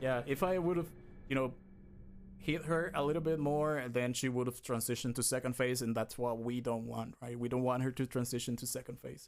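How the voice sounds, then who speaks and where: Talking at a fairly quick pace, a man with a non-native accent shows ordinary pitch variation. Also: medium pitch for a man. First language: not English. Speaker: speedrunner. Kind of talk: live gameplay commentary. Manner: halting.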